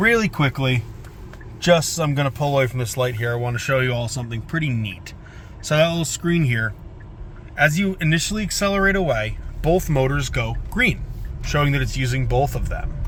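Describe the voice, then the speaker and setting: A man speaks at a fairly quick pace with a fairly high pitch and lively intonation, and room echo is audible. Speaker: car dealer presenting vehicle test drives. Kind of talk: car review test drive. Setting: in a car.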